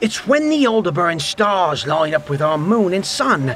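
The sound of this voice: The intonation here moves in a lively way. It comes from an unforced reading voice.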